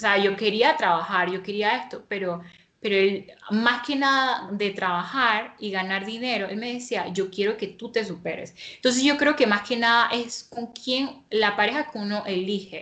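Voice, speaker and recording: A woman's normal speaking voice sits fairly high in pitch and varies in ordinary ways. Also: moderate pace. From Panama. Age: 20s. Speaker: interviewee, young married woman and home baker. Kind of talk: personal testimony in interview.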